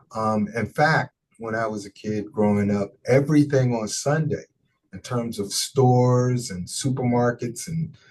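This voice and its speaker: The voice is somewhat breathy and carries ordinary pitch variation. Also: man. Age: 60s. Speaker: pastor. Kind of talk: interview.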